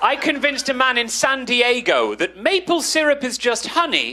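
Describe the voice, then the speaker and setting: A man with a British accent speaks at an extremely high pitch in a raised, projected voice, his intonation lively and his pace fairly slow. Crowd noise fills the background and the room echo is audible. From Britain. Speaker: comedian. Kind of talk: stand-up.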